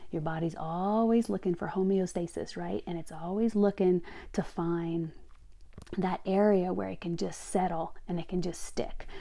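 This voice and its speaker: With a Louisiana accent, a woman speaks at a moderate pace in a dark, mellow tone and a fairly low pitch, in a very clean recording with a silent background. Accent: Southern US (Louisiana). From Louisiana, small town. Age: 50s. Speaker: health and fitness coach, podcast host. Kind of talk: solo podcast monologue. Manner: animated.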